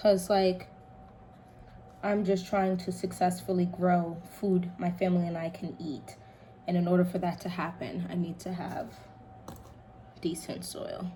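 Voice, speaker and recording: Quiet speech with audible room echo moves at a fairly slow pace, broken by long, frequent pauses, in a flat monotone. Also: woman, fairly low pitch for a woman. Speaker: home gardening vlogger. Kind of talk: casual tutorial while working. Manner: quiet, focused.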